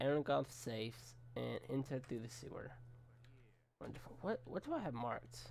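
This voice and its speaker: A man puts on a raspy character voice at medium pitch, moving at a moderate pace. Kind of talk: let's play commentary. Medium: game stream. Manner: casual, chatty.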